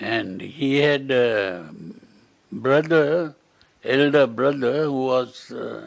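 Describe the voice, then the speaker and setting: A man talks at a very slow pace. His voice sits at medium pitch with ordinary variation. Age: 90s. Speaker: Buddhist monk. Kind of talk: interview. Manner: halting.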